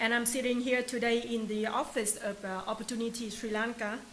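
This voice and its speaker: There is noticeable background noise and audible room echo here. A woman speaks with a fairly high-pitched voice. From Vietnam, Hanoi. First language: Vietnamese. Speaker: new resident telling migration story. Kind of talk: testimony. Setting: office. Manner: halting.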